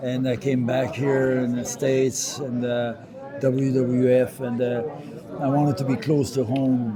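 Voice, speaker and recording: A man with a French Canadian accent speaks at a medium pitch in a monotone, flat delivery, with noticeable background noise and audible room echo. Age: 70s. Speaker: retired pro wrestler. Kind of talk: interview. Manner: halting, many fillers.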